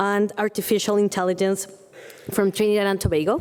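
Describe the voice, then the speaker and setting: Her pitch is fairly high, and the woman speaks with a Spanish accent. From Colombia. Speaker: panel moderator. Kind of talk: panel moderation. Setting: stage with audience.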